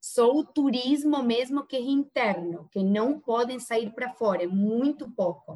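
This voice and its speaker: With a Spanish accent, a woman speaks at a fairly slow pace in a high pitch with lively intonation. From Argentina. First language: Spanish (speaking Portuguese). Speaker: real estate agent. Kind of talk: interview.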